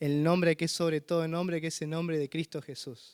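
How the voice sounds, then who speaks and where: Recorded very cleanly over a silent background, the sound is dry and close with no echo. The man speaking has a high pitch. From Argentina, San Luis. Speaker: visiting missionary preacher. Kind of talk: sermon. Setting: church.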